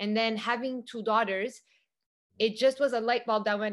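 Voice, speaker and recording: A woman at a moderate pace and medium pitch, with fairly even intonation and an ordinary speaking voice. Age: 40s. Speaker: youth empowerment facilitator. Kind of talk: casual interview.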